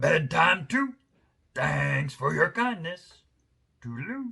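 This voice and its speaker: Very slowly, a raspy, put-on character voice draws out its words. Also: man, fairly high pitch for a man. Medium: read story. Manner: clipped, chummy phrases.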